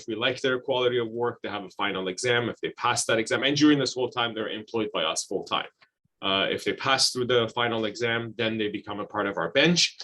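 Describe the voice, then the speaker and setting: The tone is bright and sharp, and the pace runs fairly quick. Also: man. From Iran. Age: 40s. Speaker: IT staffing executive. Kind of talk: online talk presentation. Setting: video call. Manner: hesitant, many fillers and repeats.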